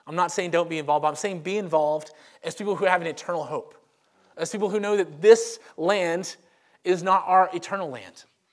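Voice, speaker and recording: A man with a Southern US accent talks at a very fast pace in a high pitch. The recording is very clean and the background silent. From Louisiana, Monroe. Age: 30s. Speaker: pastor. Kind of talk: sermon. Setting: church.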